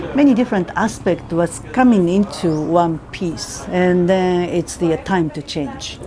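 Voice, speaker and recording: The speaker talks at a very slow pace. Noticeable background noise runs underneath. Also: woman. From Japan. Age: 50s. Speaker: spiritual teacher and healer. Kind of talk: testimony.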